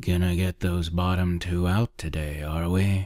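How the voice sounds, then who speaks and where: A gruff put-on character voice from a man, very deep and low in pitch, monotone and flat, at a moderate pace, in a very clean recording with a silent background. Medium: read story. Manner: gruff, curt, calls everyone pal.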